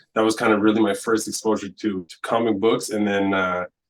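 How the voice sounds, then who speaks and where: The pace is moderate as a man talks. His voice sits fairly low in pitch. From rural Alberta, Canada (Francophone village north of Edmonton). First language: French. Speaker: comic book artist. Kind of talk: casual interview.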